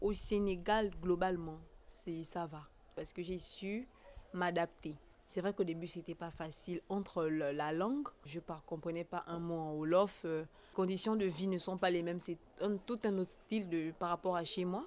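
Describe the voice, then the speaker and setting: With a fairly low pitch and ordinary pitch variation, a woman talks at a fairly slow pace. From Gabon. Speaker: foreign student. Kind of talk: interview. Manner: halting.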